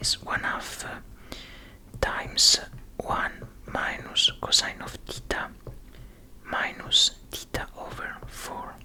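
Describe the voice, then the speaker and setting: Someone whispers very slowly, with long, frequent pauses. Background noise is noticeable. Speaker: ASMR content creator / physics tutor. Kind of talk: ASMR study-along physics explanation, soft-spoken. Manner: whispered, soft-spoken.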